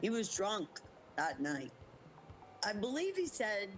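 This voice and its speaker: Music plays in the background as a woman speaks at a medium pitch. Her intonation is lively and her pace fairly slow. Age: 60s. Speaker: interviewee, scam victim. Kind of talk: interview testimony. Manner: halting.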